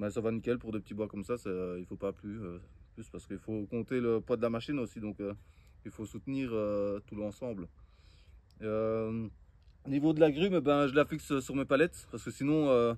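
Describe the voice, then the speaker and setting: Speaking at a moderate pace with long, frequent pauses, a man uses a medium pitch, ordinary pitch variation and big swings in loudness. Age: 30s. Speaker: woodworking and permaculture vlogger. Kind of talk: casual outdoor tutorial vlog. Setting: outdoors. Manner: hesitant, many fillers.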